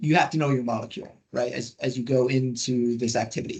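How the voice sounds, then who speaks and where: Pitch moves in an ordinary way here. There is a somewhat breathy quality to the voice. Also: man. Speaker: industry scientist presenting guidelines. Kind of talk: webinar presentation. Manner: fast; animated.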